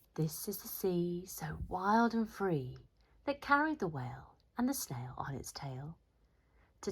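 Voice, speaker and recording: Somewhat breathy and fairly low-pitched, a woman with an English accent speaks with very wide pitch swings. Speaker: teacher. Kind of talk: children's picture book read-aloud.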